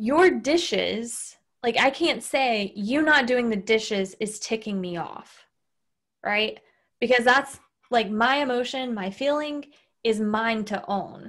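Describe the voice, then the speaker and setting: A woman speaks very slowly with a Southern US accent, recorded very cleanly against a silent background. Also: fairly high pitch for a woman, ordinary pitch variation. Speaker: podcast host. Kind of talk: casual chat. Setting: recorded podcast with husband.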